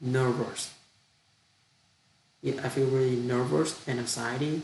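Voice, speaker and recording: Fairly slow speech in a Vietnamese accent with ordinary pitch variation and audible room echo. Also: man, medium pitch for a man. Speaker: international student. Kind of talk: language practice monologue. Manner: halting; deliberately slow.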